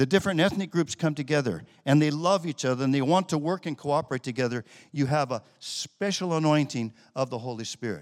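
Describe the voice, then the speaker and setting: Speaking at a fairly quick pace, a man uses a plain, everyday voice with fairly high pitch and ordinary pitch variation. The recording is very clean with a silent background and a dry, close sound with no echo. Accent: American. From United States. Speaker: missionary pastor. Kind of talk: sermon.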